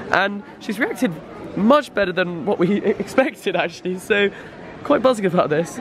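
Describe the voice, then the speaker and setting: Crowd noise fills the background. A man speaks with a high pitch. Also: ordinary pitch variation, moderate pace, dry sound with no echo. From England. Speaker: YouTuber. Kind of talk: vlog. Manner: animated.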